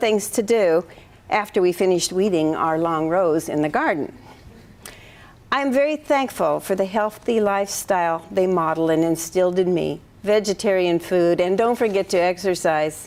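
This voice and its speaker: In an American accent, a woman talks at a moderate pace and medium pitch with lively intonation and very even loudness. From US Pacific Northwest, eastern Washington. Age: 60s. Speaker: retiring math professor. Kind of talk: retirement lecture. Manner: formal.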